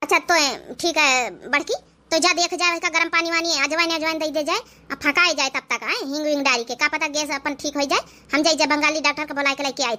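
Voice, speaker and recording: In a cartoonish character voice, a female-sounding speaker talks at a very fast pace and high pitch. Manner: commanding.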